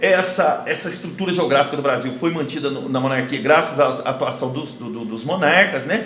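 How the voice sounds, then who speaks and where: A man speaks with a Brazilian accent, his pitch swinging very widely. Noticeable background noise and audible room echo fill the recording. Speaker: school history teacher. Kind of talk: online lesson. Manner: fast; hesitant, many fillers.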